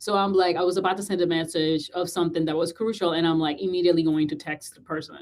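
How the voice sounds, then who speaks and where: Speaking very fast in a Puerto Rican accent, the voice barely stops for any pauses. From Puerto Rico. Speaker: podcast host and communication coach. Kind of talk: casual interview chat.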